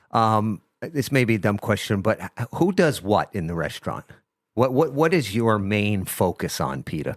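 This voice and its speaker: With a New Jersey accent, a man speaks at a moderate pace in a fairly low pitch with very wide pitch swings, recorded with a dry, close sound and no echo. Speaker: radio host. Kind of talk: interview.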